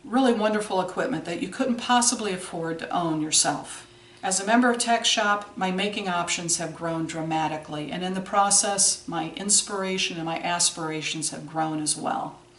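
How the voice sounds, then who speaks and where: There is audible room echo and noticeable background noise. A woman of medium pitch talks at a moderate pace with ordinary pitch variation and hardly any pauses. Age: 60s. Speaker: video blogger. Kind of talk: scripted video blog. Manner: formal.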